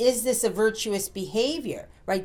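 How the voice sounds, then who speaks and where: A woman's normal speaking voice, fairly high in pitch, with lively intonation. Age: 60s. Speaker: podcast co-host. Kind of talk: casual chat.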